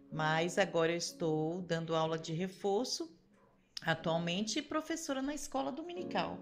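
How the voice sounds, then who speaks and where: A woman speaks at a moderate pace, with music in the background. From Brazil, Rio de Janeiro. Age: 50s. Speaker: teacher and church member. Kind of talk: testimony interview.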